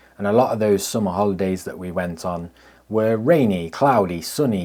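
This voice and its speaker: A man with an English accent and a very deep, low pitch, at a moderate pace with ordinary pitch variation, on a very clean recording with a silent background. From England. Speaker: landscape photographer, video creator. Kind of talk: vlog narration. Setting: outdoors on the coast.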